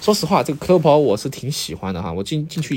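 A man talks with very wide swings in pitch. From Sichuan. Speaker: podcast host. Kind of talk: casual solo monologue. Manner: hesitant, many filler sounds.

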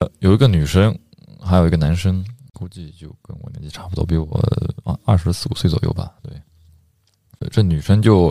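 At a moderate pace, a man talks in a very deep, low pitch with a dark, mellow tone. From Yunnan, China. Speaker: international student. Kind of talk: casual chat.

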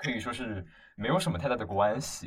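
This man's somewhat breathy voice moves at a moderate pace. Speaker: podcast co-host, university student. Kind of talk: casual chat.

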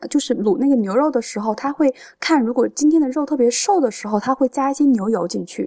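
A woman with a high pitch talks at a fairly quick pace in a dry, close sound with no echo. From Changde, Hunan, China. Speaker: food enthusiast. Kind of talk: casual chat.

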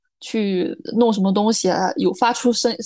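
Against a quiet background, a woman speaks at a medium pitch in a plain, everyday voice with fairly even intonation. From rural China. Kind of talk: casual chat.

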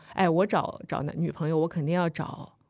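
A woman with an ordinary speaking voice, fairly low in pitch, at a fairly quick pace. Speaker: podcast host. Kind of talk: casual chat.

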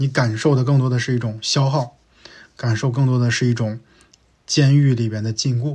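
A man speaks at a moderate pace with a medium pitch and fairly even intonation. His voice is somewhat breathy, and the recording is very clean with a silent background. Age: 40s. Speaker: podcast host, former big-tech operations director. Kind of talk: solo year-end review monologue. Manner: casual, conversational with many fillers.

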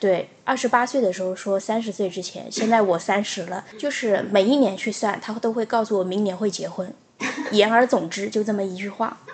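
Noticeable background noise sits behind the speech. A woman talks at a medium pitch and a moderate pace. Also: fairly even intonation. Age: 30s. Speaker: podcast co-host. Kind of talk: casual chat.

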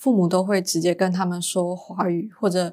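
A woman with an unremarkable speaking voice talks at a moderate pace and medium pitch. The recording is very clean, with a silent background. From Malaysia, Penang. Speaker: university student and intern. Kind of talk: casual interview.

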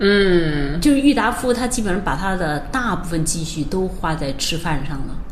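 Speech at a moderate pace with hardly any pauses swings very widely in pitch. Both room echo and background noise are noticeable. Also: woman, fairly low pitch for a woman. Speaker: semiconductor industry executive. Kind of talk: interview. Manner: hesitant, many fillers.

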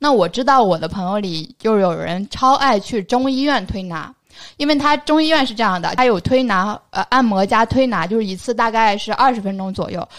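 In a plain, everyday voice, a woman talks at a fairly quick pace with a fairly high pitch. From northern China. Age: 20s. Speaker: podcast co-host. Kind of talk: casual chat.

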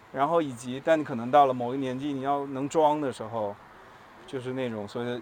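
A man at medium pitch with fairly even intonation and a fairly quick pace. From Taiwan. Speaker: advertising creative. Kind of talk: casual chat. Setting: outdoors, walking through the city. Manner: gentle, soft-spoken.

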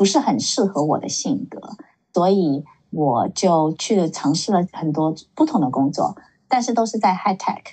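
A woman speaks at a moderate pace in a plain, everyday voice, her pitch fairly low and her intonation lively. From San Francisco Bay Area, US (born in Shanghai). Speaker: tech professional. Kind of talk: casual interview.

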